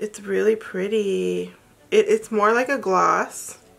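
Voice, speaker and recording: Female voice with music in the background. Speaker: beauty vlogger. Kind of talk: product unboxing and review. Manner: casual, chatty.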